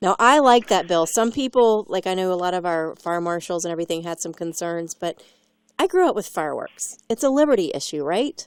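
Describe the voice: Fairly low-pitched and quick, a woman talks with lively intonation and a clear, smooth tone in a dry, close sound with no echo.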